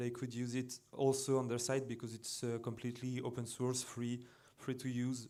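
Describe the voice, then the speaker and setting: The speaker has a French accent. Audible room echo surrounds the voice. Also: man. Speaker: computer music designer and composer. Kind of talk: conference presentation. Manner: halting.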